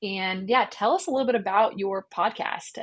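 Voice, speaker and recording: At a moderate pace and medium pitch, a woman speaks in an animated, enthusiastic tone with ordinary pitch variation. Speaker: podcast host. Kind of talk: casual interview.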